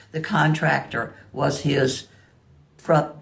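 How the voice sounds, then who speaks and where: A woman with an American accent speaks at a very deep, low pitch with vocal fry. Her fairly slow delivery carries audible room echo. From US South, southwest Virginia. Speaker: museum donor. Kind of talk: interview. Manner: halting.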